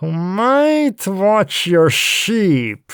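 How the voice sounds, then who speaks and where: Using a put-on character voice, a man talks at a very slow pace with very wide pitch swings. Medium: read story. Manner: hesitant.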